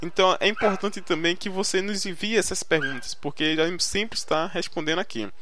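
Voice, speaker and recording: A man with a high pitch speaks in a raised, projected voice at a moderate pace, with hardly any pauses and ordinary pitch variation. Music plays in the background, and the room echo is audible. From Brazil, Recife, Pernambuco (Northeast). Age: 20s. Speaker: podcast host, English learning blogger. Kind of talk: casual solo podcast monologue. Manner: hesitant, many fillers and repetitions.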